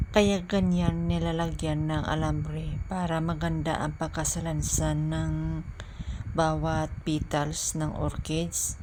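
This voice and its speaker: A very slow pace with audible room echo. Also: woman. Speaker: flower shop worker and new YouTuber. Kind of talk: voice-over tutorial. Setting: flower shop. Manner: halting.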